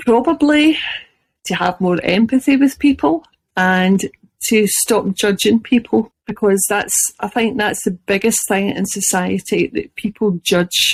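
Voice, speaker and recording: With a Scottish accent and lively intonation, a woman speaks at a fairly slow pace in a medium pitch, somewhat breathy, in a dry, close sound with no echo. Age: 50s. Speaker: chronic illness blogger. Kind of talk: interview.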